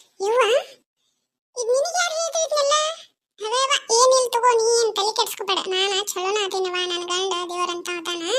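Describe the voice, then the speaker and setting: A cartoonish character voice, female-sounding and pitched extremely high. It moves at a fairly slow pace. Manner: chatty, colloquial.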